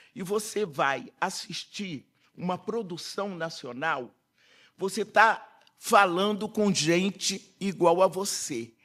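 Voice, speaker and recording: A man with a high pitch and a bright, sharp tone speaks at a very slow pace. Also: ordinary pitch variation, very clean recording, silent background. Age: 80s+. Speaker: politician, panel speaker. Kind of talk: panel talk.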